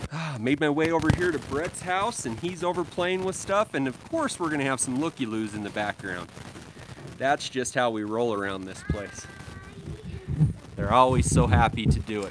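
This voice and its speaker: The sound is dry, with no echo, but background noise comes through noticeably. A man speaks at a moderate pace. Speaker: lawn care livestream host. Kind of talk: casual live stream chat. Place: street. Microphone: phone near.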